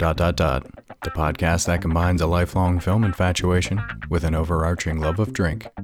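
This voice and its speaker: Music plays behind a man with a very deep, low, growling voice. He keeps a moderate pace and very even loudness, with hardly any pauses. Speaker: podcast host. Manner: close-mic podcast delivery.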